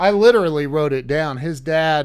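Lively intonation runs through a man's plain, everyday voice, fairly high in pitch at a moderate pace. The recording is very clean, with a silent background. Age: 50s. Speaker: podcast host. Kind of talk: interview. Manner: excitable, repetitive.

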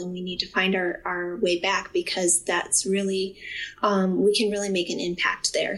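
A woman with medium pitch talks at a fairly slow pace. Her intonation is fairly even, and there is noticeable background noise. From US Midwest, Ohio. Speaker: occupational therapy professor. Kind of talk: interview testimony.

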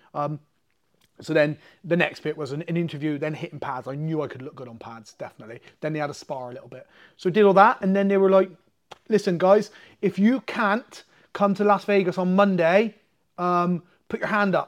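Speaking with an English accent, a man with a high voice uses lively intonation and big swings in loudness at a fairly quick pace, broken by long, frequent pauses. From England. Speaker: martial arts coach and MMA fighter. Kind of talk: casual chat. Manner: talkative.

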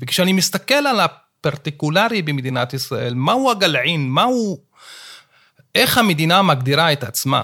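This man's tone is bright and sharp, his pitch fairly high. He speaks at a fairly slow pace with very wide pitch swings. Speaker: law professor. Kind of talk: interview discussion.

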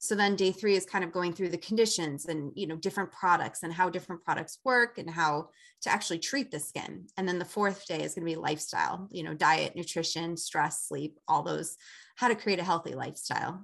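Here a woman speaks in a plain, everyday voice, fairly low in pitch, at a fairly quick pace with ordinary pitch variation. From Chicago. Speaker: esthetician. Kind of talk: interview.

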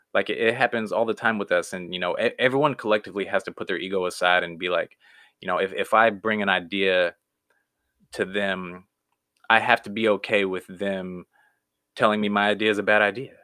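At a fairly quick pace, a man with an unremarkable speaking voice talks in a fairly low pitch with fairly even intonation. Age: 30s. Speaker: comedian and cartoonist. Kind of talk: casual interview chat.

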